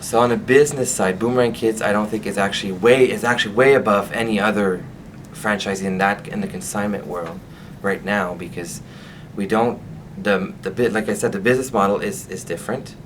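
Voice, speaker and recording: Amid noticeable background noise and audible room echo, a man speaks at a fairly quick pace with a Quebec accent. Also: fairly low pitch for a man, ordinary pitch variation. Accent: French Canadian accent in English. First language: French. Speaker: franchise owner. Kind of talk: interview. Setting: on camera interview. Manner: halting.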